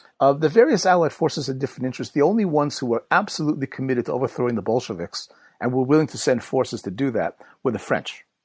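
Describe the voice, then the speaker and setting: A man talks at a very fast pace in a fairly high voice, with lively intonation over a quiet background. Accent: American. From United States. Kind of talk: interview.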